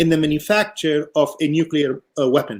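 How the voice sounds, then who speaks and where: A man at a moderate pace, fairly high-pitched, in a normal speaking voice. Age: 60s. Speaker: political science professor. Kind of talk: panel discussion.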